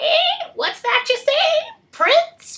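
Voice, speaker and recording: A woman uses a put-on character voice, squeaky and croaky at an extremely high pitch. Her pitch swings very widely, all part of the act. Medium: read story.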